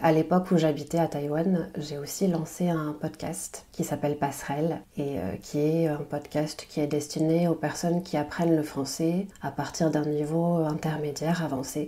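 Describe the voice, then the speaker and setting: A woman with a very deep, low pitch talks at a fairly slow pace in a monotone, flat intonation, with hardly any pauses. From French Basque Country. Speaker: French language teacher and podcaster. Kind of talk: podcast interview. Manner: hesitant, many fillers.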